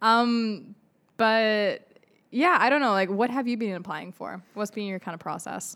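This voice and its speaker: A woman with a fairly high pitch speaks at a fairly slow pace, using ordinary pitch variation, in an unremarkable speaking voice. The recording is very clean and the background silent. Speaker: student podcast co-host. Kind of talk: casual chat.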